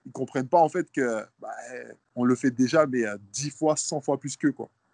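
Fairly high pitch for a man, an ordinary speaking voice at a moderate pace, ordinary pitch variation, and a dry, close sound with no echo. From Guadeloupe. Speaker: professional basketball player. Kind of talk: interview.

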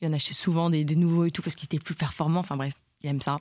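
Fairly even intonation comes from a woman with a very deep, low pitch. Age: 20s. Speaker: podcast co-host. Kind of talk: casual chat.

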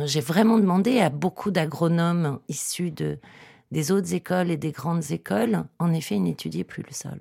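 A woman with a dark, mellow tone and a fairly low pitch, her voice dropping into vocal fry. Her intonation is lively, and her loudness swings widely. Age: 40s. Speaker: agronomist and author. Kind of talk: interview. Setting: studio.

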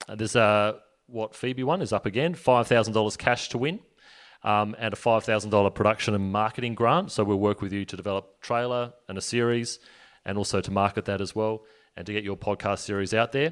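A man with a normal speaking voice talks at a fairly quick pace, at a fairly low pitch with ordinary variation. The recording is very clean, with a silent background. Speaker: podcast network manager and interviewer. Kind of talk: conference panel Q&A.

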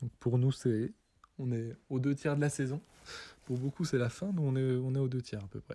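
Long, frequent pauses break up this dark, mellow voice, which moves at a moderate pace. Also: man, medium pitch for a man, ordinary pitch variation. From France, Doubs. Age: 20s. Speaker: Nordic combined athlete. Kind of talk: interview answers.

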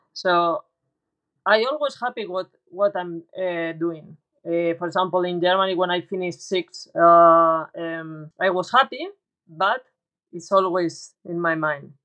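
A woman's fairly low-pitched voice with a Spanish accent and a bright, sharp tone, at a fairly slow pace with long, frequent pauses, ordinary pitch variation, and dry, close sound with no echo. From Spain. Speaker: professional golfer. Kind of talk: casual interview. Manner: halting.

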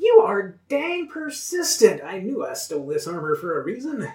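In a put-on character voice, a man speaks at an extremely high pitch and a moderate pace. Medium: actual play. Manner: scornful, irritated, sarcastic.

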